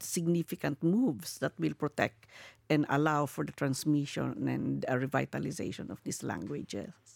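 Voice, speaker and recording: Recorded very cleanly with a silent background and a dry, close sound with no echo, a woman with a Filipino accent talks at a moderate pace. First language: Kankanaey. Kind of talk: interview. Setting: live podcast at UNESCO headquarters.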